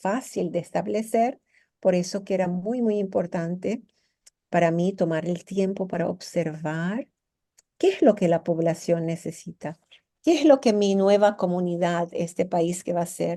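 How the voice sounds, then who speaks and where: With a dark, mellow tone, a woman at medium pitch speaks fairly slowly, using ordinary pitch variation. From Venezuela, after childhood in Iraq and Lebanon. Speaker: psychotherapist and business mentor. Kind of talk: interview. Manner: halting, with many repetitions.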